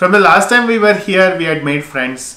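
A high-pitched male voice with ordinary pitch variation, set against noticeable background noise. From India, Mysore. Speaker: travel YouTuber. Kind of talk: casual chat. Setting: video call. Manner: halting.

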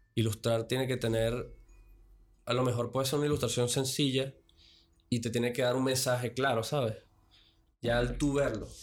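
On a very clean recording with a silent background, a man with a medium pitch speaks at a moderate pace in a monotone, flat intonation, with very even loudness and long, frequent pauses. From Venezuela. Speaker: podcast guest. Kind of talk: casual chat. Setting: studio.

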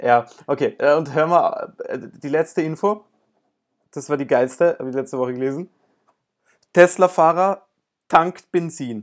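Fairly slow delivery with long, frequent pauses, ordinary pitch variation and big swings in loudness. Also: man, fairly high pitch for a man. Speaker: podcast host and amateur tennis player. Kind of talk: casual chat.

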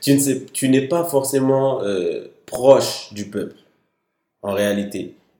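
Very slow and dark, mellow in tone, the man's voice has ordinary pitch variation. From Mali. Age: 20s. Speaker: security analyst and law student. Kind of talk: casual discussion.

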